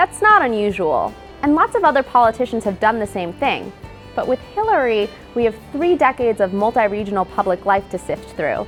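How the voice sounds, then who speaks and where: Over music in the background, a woman speaks in a playful tone at a fairly quick pace. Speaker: news video narrator. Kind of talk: news explainer narration. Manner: wry, playful.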